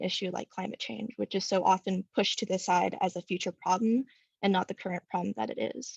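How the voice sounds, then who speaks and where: Very fast female speech at medium pitch with vocal fry and an American accent, dry and close with no echo, over a quiet background. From Southern California. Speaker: student speaker at public comment. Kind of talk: public comment statement.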